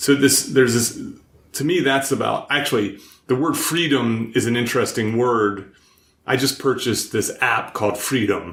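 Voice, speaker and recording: Talking at a moderate pace, a man with an unremarkable speaking voice keeps a medium pitch and ordinary pitch variation. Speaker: behavioral scientist, podcast host. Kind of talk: podcast interview host talk.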